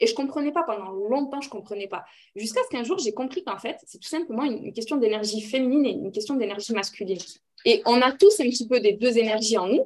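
Very fast and high-pitched, a woman talks with lively intonation and big swings in loudness. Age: 30s. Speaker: entrepreneur and mother. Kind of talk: casual chat. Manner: talkative.

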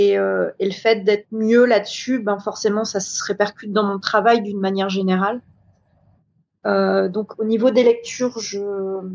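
Her pitch medium and her intonation monotone and flat, a woman talks at a fairly slow pace. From New Caledonia. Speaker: hotel events director. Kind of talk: interview.

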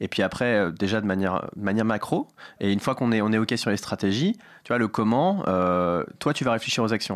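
The recording is very clean, with a silent background. A man talks at a fairly quick pace with ordinary pitch variation. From Paris, 13th arrondissement. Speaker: startup founder. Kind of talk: casual interview. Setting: studio.

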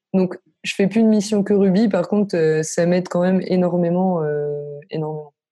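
With a dark, mellow tone, a woman talks at a medium pitch and moderate pace, keeping her intonation fairly even. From northern France (Lille). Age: 20s. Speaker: freelance no-code developer. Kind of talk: casual interview.

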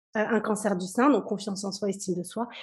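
The background stays quiet. A woman talks at a medium speed. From Kabylie, Algeria, raised in France. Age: 40s. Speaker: business coach. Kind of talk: interview.

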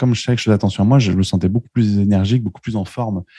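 A very fast-talking man with a dark, mellow tone, fairly low pitch and ordinary pitch variation. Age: 30s. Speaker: web marketing entrepreneur. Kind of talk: casual interview. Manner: halting, with frequent repetitions.

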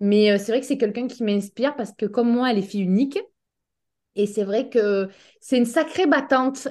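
A woman talks at a fairly quick pace in a high pitch, with ordinary pitch variation. The background is quiet. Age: 30s. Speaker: naturopath. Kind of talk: casual chat. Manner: halting. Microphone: bad connection.

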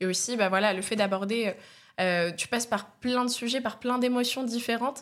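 With a plain, everyday voice, a woman of fairly high pitch speaks at a moderate pace with fairly even intonation on a very clean recording with a silent background. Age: 20s. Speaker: comedian. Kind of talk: casual chat.

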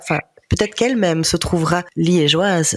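With ordinary pitch variation, a woman talks at a fairly quick pace in a fairly low voice. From Belgian Ardennes, Libin. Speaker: family business employee. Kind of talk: interview. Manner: halting.

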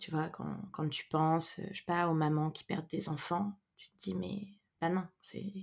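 A woman talks fairly slowly, her intonation fairly even. Her pitch is fairly low, with vocal fry. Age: 30s. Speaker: entrepreneur and women's circle facilitator. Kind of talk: casual interview conversation. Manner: hesitant, many fillers.

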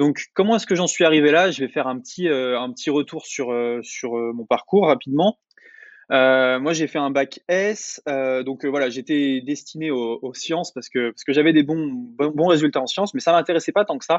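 A man talks in a normal speaking voice at a moderate pace. His pitch is fairly high, with ordinary pitch variation. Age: 20s. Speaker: online entrepreneur and YouTuber. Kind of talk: interview.

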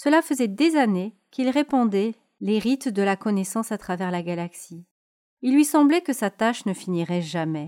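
Fairly high for a woman yet dark and mellow in tone, her gentle, soothing voice makes very wide pitch swings, sounding dry and close with no echo on a very clean recording with a silent background. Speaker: podcast host. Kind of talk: bedtime story telling, a fairy tale read aloud in a calm soothing tone. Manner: slow, gentle, soothing.

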